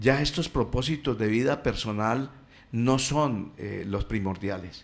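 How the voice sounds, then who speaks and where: The man talks very slowly. His voice sits at a medium pitch. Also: ordinary pitch variation. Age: 60s. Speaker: radio guest speaking on family and faith. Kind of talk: radio talk. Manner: halting, many fillers.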